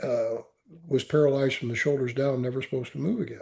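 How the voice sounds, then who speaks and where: A man with a medium pitch and a dark, mellow, somewhat breathy tone. He talks at a fairly quick pace with ordinary pitch variation. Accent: American. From US Midwest. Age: 70s. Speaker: Marine veteran and author. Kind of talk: interview testimony. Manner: halting, repeats words.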